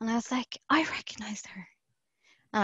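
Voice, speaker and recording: A woman with an Irish accent, very fast pace. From Ireland, Galway. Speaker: professional wrestler. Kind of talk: casual interview chat. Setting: video call.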